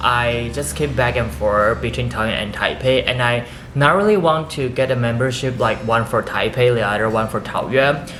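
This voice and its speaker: In a Taiwanese accent, a man talks at a moderate pace with lively intonation and medium pitch. The recording carries audible room echo and noticeable background noise. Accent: Taiwanese Mandarin-accented English. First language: Mandarin Chinese. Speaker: lifestyle vlogger. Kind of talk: casual vlog talk.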